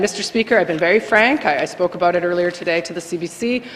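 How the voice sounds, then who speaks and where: There is noticeable background noise behind this woman's voice. She talks fairly quickly at a medium pitch, with ordinary pitch variation. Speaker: legislative assembly member. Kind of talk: farewell speech in legislature. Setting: legislative chamber. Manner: fast.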